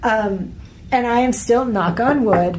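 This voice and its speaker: Speaking very slowly with an American accent, a woman uses a fairly high pitch and ordinary pitch variation. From United States. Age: 30s. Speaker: travel blogger and author. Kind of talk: interview conversation.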